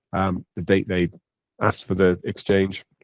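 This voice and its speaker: A man speaks in a fairly low pitch. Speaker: software trainer. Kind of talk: online tutorial webinar. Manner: hesitant, many ums.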